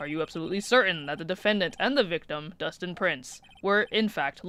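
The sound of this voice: The clip features an unforced reading voice with ordinary pitch variation.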